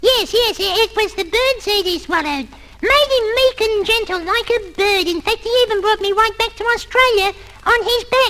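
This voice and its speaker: Over clear background noise, a squeaky, put-on character voice speaks at an extremely high pitch. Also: moderate pace. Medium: read story. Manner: stammering, chatty.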